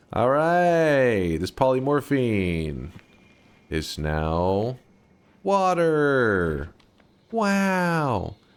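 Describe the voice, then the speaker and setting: Very slowly and with long, frequent pauses, a man with an American accent talks in very wide pitch swings. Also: medium pitch for a man. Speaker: gaming streamer. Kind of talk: live gameplay commentary. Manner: casual, joking.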